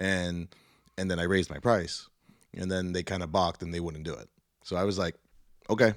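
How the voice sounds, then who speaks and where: Very deep, low male voice with long, frequent pauses, on a very clean recording against a silent background. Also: fairly quick pace. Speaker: DJ and producer, guest. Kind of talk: casual interview with event and merch plugging. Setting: studio. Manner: relaxed, chatty, upbeat, filler-heavy ('you know', 'uh').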